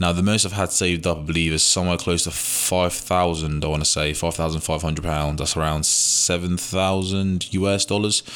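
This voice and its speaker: A man with a British accent, very deep, low pitch, fairly quick pace, hardly any pauses and very even loudness, over noticeable background noise. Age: 20s. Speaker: podcast host, young entrepreneur. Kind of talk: casual solo monologue. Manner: energetic, informal.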